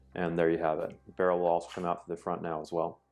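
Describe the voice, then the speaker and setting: With music playing in the background, a man speaks at a moderate pace in a very deep, low pitch. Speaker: firearms company representative. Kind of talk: tutorial. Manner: monotone.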